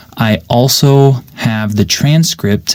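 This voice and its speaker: Over noticeable background noise, a man speaks at a fairly slow pace with lively intonation. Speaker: English teacher podcaster. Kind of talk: unscripted podcast monologue. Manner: clear.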